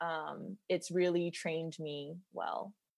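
This woman has an ordinary speaking voice, pitched fairly low, with ordinary pitch variation. The recording is very clean with a silent background. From US South, Georgia (Macon). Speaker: high school counselor. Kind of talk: casual chat.

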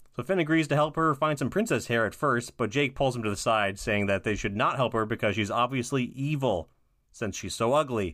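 A plain, everyday voice from a man of medium pitch, fairly quick in pace, with ordinary pitch variation. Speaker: podcast co-host. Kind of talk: casual chat.

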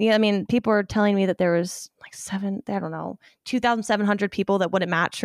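In a very clean recording with a silent background and a dry, close sound with no echo, a woman with an American accent and an ordinary speaking voice talks at a fairly quick pace, her medium pitch and intonation fairly even. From Ohio. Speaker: medical student. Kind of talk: casual chat. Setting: at home.

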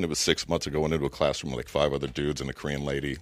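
A man speaks with vocal fry. His pitch is very deep and low. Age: 30s. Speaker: former Green Beret and comedian. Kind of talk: casual chat.

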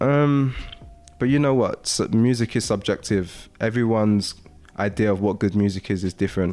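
This man has a plain, everyday voice pitched fairly low. He keeps a moderate pace at a very even loudness. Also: ordinary pitch variation. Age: 20s. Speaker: music producer and YouTuber. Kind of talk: casual interview chat.

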